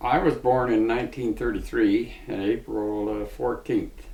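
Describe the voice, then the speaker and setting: A man with an Ontario accent at a fairly slow pace, with audible room echo. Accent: rural Ontario Canadian. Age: 80s+. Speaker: retired farmer. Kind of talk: interview.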